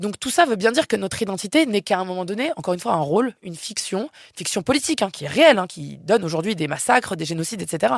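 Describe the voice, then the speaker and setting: A woman at medium pitch talks at a very fast pace with lively intonation and an animated tone, in a dry, close sound with no echo. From France. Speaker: philosopher. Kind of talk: podcast interview.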